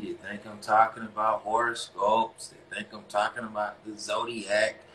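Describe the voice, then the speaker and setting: In an American accent, a man talks at a medium pitch and a fairly slow pace over noticeable background noise. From US South, North Carolina (Greensboro). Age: 40s. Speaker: relationship coach and live-stream host. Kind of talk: casual live-stream monologue. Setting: Instagram live broadcast. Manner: halting, many fillers.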